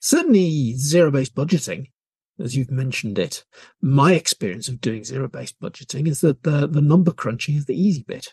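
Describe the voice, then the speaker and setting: Dry and close with no echo, a man's somewhat breathy voice has a dark, mellow tone, a fairly high pitch, lively intonation and a fairly quick pace. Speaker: podcast host. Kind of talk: interview.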